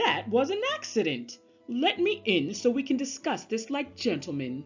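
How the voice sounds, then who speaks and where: A put-on character voice over faint music in the background. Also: woman, high pitch for a woman, moderate pace. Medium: read story. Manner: polite, earnest.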